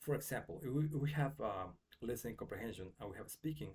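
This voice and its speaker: A man's medium-pitched voice with a Mexican accent, vocal fry, lively intonation and a very fast pace. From Mexico. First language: Spanish. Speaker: English teacher. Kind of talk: tutorial. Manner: casual with frequent fillers.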